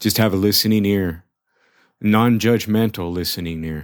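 Very clean recording with a silent background, a man with fairly low pitch, ordinary pitch variation, and a moderate pace. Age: 40s. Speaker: adoptee sharing personal story. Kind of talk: self-recorded testimony. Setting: self-recorded. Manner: halting, many repeated words.

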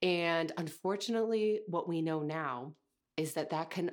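The speech moves at a fairly slow pace with ordinary pitch variation on a very clean recording with a silent background. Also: woman. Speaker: podcast host and nervous system coach for artists. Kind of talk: solo monologue podcast.

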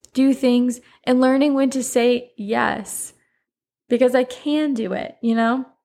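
In a very clean recording with a silent background, a woman with a high pitch and an American accent talks at a fairly slow pace with fairly even intonation. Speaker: podcast host. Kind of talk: casual solo monologue. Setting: home recording with microphone. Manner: chatty, frequent laughter.

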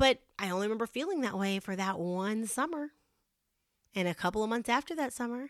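An unremarkable speaking voice with lively intonation, dry and close with no echo. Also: woman, fairly high pitch for a woman, fairly quick pace, very clean recording, silent background. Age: 40s. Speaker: podcast host. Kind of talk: motivational monologue. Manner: casual, chatty.

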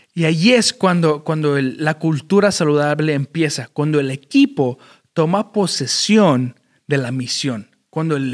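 With lively intonation and fairly high pitch, a man speaks at a fairly slow pace in a dry, close sound with no echo. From Chicago, Illinois, US. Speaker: podcast host, church worker. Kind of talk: solo motivational talk. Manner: halting, many fillers and repeats.

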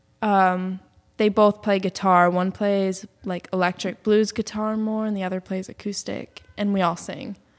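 In an American accent, a woman speaks at medium pitch with monotone, flat intonation at a fairly slow pace, in a dry, close sound with no echo. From Massachusetts, Boston area. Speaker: musician and yoga teacher. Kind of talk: casual interview.

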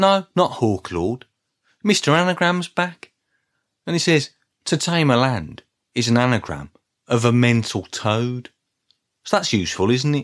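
In a Birmingham accent, a man at a medium pitch speaks at a fairly slow pace with long, frequent pauses, very wide pitch swings and very even loudness, the sound dry and close with no echo on a very clean recording with a silent background. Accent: Brummie. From Birmingham, England. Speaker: podcast host, music fan. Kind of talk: solo podcast monologue.

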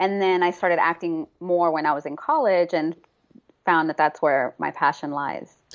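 A woman with an American accent speaks at a moderate pace in a fairly low pitch. Her intonation is fairly even, and hers is an unremarkable speaking voice. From Texas, Houston. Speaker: actor. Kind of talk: interview.

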